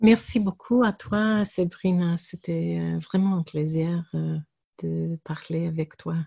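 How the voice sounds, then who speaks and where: The voice is somewhat breathy with a dark, mellow tone and ordinary pitch variation. It moves at a very slow pace, and the sound is dry and close with no echo. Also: woman. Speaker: pastor. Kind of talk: interview. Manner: halting.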